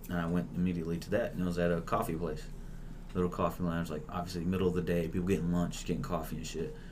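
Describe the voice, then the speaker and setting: In a room with audible echo, a man with a very deep, low voice talks very fast in a flat monotone. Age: 20s. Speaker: stand-up comedian. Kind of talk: casual chat.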